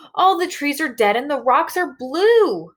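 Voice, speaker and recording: Put-on character voice from a woman, high-pitched, with very wide pitch swings. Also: moderate pace. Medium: read story. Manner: agitated, shouting.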